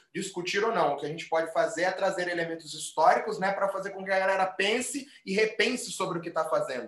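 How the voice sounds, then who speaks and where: Very fast, high-pitched male speech with ordinary pitch variation over noticeable background noise. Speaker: capoeira teacher. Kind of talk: casual chat. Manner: forceful, argumentative-sounding.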